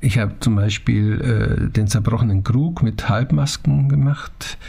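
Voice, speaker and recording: Medium-pitched man at a fairly slow pace, with noticeable background noise. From Franconia, Germany (Naila). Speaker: theatre director and mask ensemble co-founder. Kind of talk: interview conversation.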